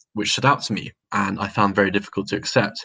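A man with a southern English accent and a fairly low-pitched voice. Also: quiet background. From London, England. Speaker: religious convert. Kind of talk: testimony. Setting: video call.

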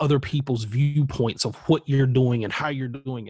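Against a quiet background, a normal speaking voice with an American accent moves at a moderate pace in fairly even intonation. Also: man. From US South, South Carolina. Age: 40s. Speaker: creative entrepreneur and blogger. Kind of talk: casual interview.

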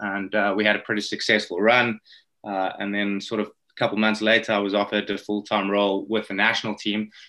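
Speaking at a very fast pace in a South African accent, a man with a fairly low pitch uses a bright, sharp tone and monotone, flat intonation. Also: very clean recording, silent background. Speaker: rowing coach. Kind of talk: interview. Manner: hesitant, many fillers and repeated words.

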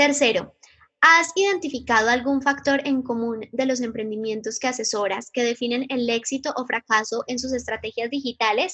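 A woman speaks in a high-pitched voice with a bright, sharp tone. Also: ordinary pitch variation, moderate pace. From Colombia, Medellín. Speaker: digital marketing mentor and content creator. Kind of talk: lecture.

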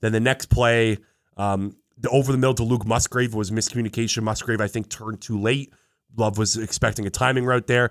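The sound is dry and close with no echo as a man speaks at a medium pitch with monotone, flat intonation. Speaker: sports betting podcast host. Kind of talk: casual sports betting banter.

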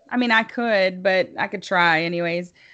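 A Tennessee accent with ordinary pitch variation. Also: woman. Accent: Southern US (Tennessee). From US South, Tennessee (near Chattanooga). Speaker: libertarian podcaster. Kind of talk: casual interview.

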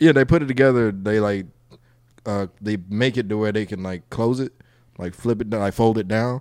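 Moderate pace and ordinary pitch variation from a man with an ordinary speaking voice, pitched fairly low. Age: 20s. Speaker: comedian. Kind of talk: casual chat.

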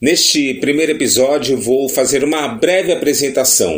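An unremarkable speaking voice from a man, medium in pitch, fairly slow, with lively intonation. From Brazil, São Paulo coast (Baixada Santista). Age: 40s. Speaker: radio announcer and podcast host. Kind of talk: podcast monologue self-introduction.

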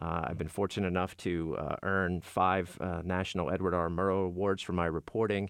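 A man with an American accent speaks at a fairly quick pace in a very deep, low voice, with hardly any pauses. His intonation is flat and monotone over a quiet background. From western Pennsylvania, Beaver County. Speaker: radio journalist. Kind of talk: interview.

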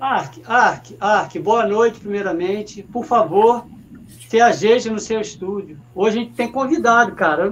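At a fairly slow pace, a man with a high voice speaks with ordinary pitch variation. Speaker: sports web show host. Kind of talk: casual live stream chat. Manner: halting, repeats words.

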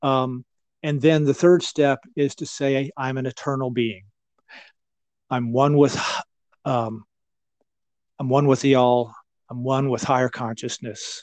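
At a fairly slow pace, a man with an American accent speaks with fairly even intonation and long, frequent pauses against a quiet background. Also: medium pitch for a man, dry, close sound with no echo. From Western North Carolina. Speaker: meditation teacher and author. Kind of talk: interview. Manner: halting, many fillers.

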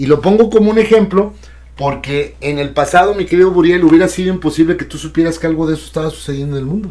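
This man's voice comes across as somewhat breathy. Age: 60s. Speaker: radio and TV broadcaster. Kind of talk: casual chat.

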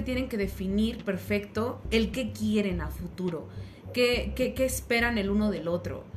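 The speech runs at a moderate pace amid noticeable background noise and audible room echo. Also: woman. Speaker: podcast co-host. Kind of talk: casual chat.

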